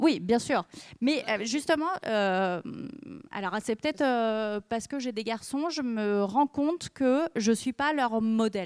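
Her fairly high voice has lively intonation, and she speaks very slowly. The woman is heard against a quiet background. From France. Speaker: journalist and author; journalist. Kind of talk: talk to an audience; talk and Q&A answer. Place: stage. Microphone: handheld.

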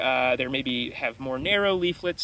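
The delivery is fairly slow, with lively intonation. The sound is dry with no echo, over light background noise. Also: man. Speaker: tree educator. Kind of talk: tutorial. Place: forest. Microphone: phone near.

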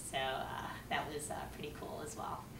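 This is a woman speaking. Noticeable background noise is present. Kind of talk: personal talk to camera. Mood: warm, smiling. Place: home room. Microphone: camera far.

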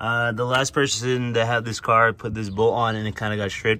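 A man's bright, sharp voice at a very fast pace, monotone and flat in intonation, over light background noise. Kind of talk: tutorial. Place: street. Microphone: phone near.

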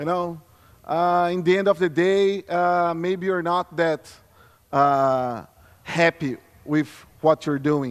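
A high-pitched man with a Brazilian Portuguese accent at a very slow pace, with long, frequent pauses and a quiet background. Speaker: security consultant; conference presenter. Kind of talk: conference talk. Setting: stage with audience. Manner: halting. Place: stage. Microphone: podium.

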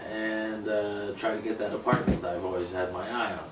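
A man at a fairly low pitch and moderate pace, with audible room echo and light background noise. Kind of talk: interview answer. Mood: earnest, frustrated. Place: home room. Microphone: camera far.

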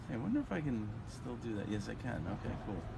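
Loud background noise under a man's moderate pace. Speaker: live streamer. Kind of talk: casual live stream chat. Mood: cheerful, amused. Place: home room. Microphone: phone near.

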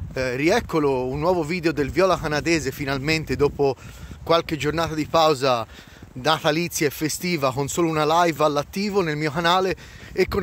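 A man with a plain, everyday voice, fairly high-pitched, at a fairly quick pace with fairly even intonation, in a dry sound with no echo and light background noise. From Florence, Italy; Tuscany, Italy. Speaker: vlogger. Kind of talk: casual vlog monologue. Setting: outdoors by a snowy lake. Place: waterside. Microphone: phone near.

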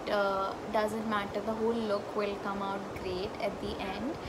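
A woman talks over loud background noise. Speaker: beauty vlogger. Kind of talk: tutorial. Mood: cheerful, relaxed. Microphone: phone near.

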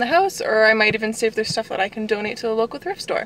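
A woman speaks in a dry sound with no echo. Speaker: reseller vlogger. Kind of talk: casual vlog chat. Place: car. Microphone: phone near.

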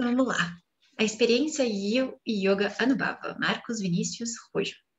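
A somewhat breathy voice against a quiet background. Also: woman. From Brazil. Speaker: co-teacher reading the text aloud. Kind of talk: reading aloud and commenting in a class. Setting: video call, poor connection. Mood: calm, reflective. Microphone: video call.

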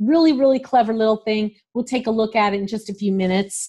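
A woman with a fairly high pitch, a dark, mellow tone, a somewhat breathy sound and ordinary pitch variation. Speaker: podcast host. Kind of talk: interview.

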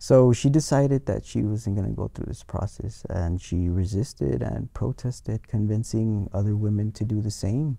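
Speaking at a moderate pace with hardly any pauses, a man with an American accent has a fairly low pitch, a dark, mellow tone, a somewhat breathy quality and ordinary pitch variation over a quiet background. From US-Mexico border, El Paso; US-Mexico border. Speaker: museum education curator; guest. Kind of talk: academic interview. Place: studio. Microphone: lapel.

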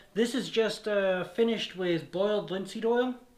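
The pitch rises and falls in an ordinary way. The pace is fairly slow, with audible room echo.

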